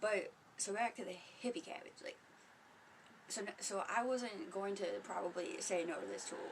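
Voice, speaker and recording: Soft-spoken speech at a moderate pace with long, frequent pauses over noticeable background noise. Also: woman. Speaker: spiritual vlogger. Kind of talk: casual livestream monologue. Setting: home. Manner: casual, profane.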